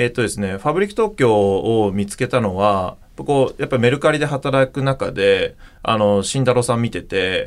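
A man with a plain, everyday voice speaks at a moderate pace and medium pitch, with lively intonation. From Japan, Okayama. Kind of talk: interview.

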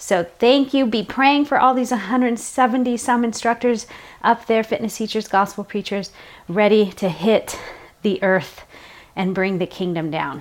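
Noticeable background noise sits behind a woman speaking at a fairly high pitch. Her intonation is lively and her pace fairly slow. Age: 40s. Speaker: fitness instructor and faith podcast host. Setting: studio recording over workout music. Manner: animated.

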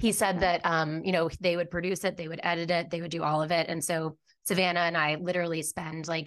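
Against a quiet background, the speaker talks very fast with an American accent and fairly even intonation. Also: woman. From Virginia, New Jersey. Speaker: podcast host, guest. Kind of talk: casual chat.

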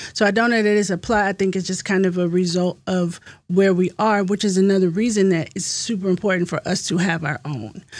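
A woman with a plain, everyday voice in an American accent, medium in pitch with fairly even intonation, at a fairly quick pace with hardly any pauses, in a very clean recording with a silent background. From US South (Virginia). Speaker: real estate agent and historian. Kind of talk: podcast interview.

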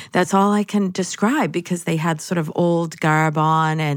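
Speaking at a fairly slow pace in a fairly low pitch, a woman has an unremarkable speaking voice, captured on a very clean recording with a silent background. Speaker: spirit medium. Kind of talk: casual interview chat.

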